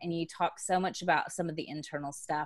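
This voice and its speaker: With an American accent, a woman speaks at a fairly quick pace and a fairly low pitch. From Texas. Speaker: business coach. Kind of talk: podcast interview.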